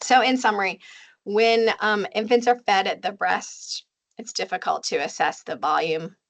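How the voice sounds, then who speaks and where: A woman's lively intonation with vocal fry, at a moderate pace against a quiet background. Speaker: lactation consultant and physician educator. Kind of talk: webinar presentation. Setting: online webinar. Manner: many fillers, hesitant.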